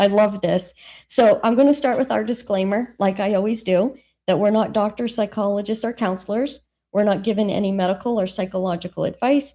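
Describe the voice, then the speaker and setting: Over a silent background in a very clean recording, a woman talks at a fairly quick pace. Her tone is dark and mellow, with ordinary pitch variation. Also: medium pitch for a woman. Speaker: podcast host; teacher. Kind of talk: podcast discussion; reading aloud a list. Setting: live stream. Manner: assertive; loud, projected voice.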